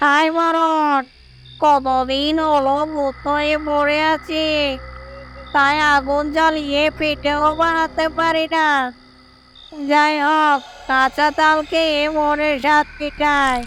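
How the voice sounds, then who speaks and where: In a cartoonish character voice, a female-sounding speaker talks at a very slow pace, high-pitched for a woman and monotone, with flat intonation. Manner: threatening, sly.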